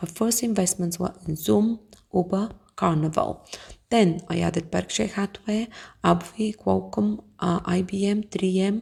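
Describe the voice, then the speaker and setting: Speaking at a fairly slow pace, a woman talks with a Bulgarian accent. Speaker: investing YouTuber. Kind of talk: casual tutorial. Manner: halting, many fillers.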